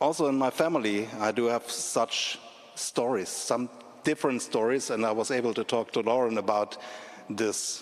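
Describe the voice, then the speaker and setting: The speaker is a man with a German accent. He talks at a moderate pace and a medium pitch. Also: very even loudness. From Germany, Leipzig. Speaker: speaker at commemorative event. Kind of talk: public speech. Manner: halting.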